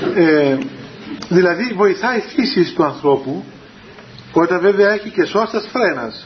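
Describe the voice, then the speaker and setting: Over noticeable background noise, a man with a high pitch speaks at a fairly slow pace and very even loudness, taking long, frequent pauses. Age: 30s. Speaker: Orthodox spiritual teacher. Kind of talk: religious talk to young people. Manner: halting.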